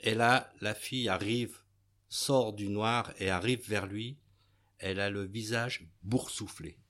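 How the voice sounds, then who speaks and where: A man speaks at a very slow pace with a fairly low pitch. His intonation is fairly even. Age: 60s. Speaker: retired baker. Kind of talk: casual interview, retelling a story. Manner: hesitant, with fillers.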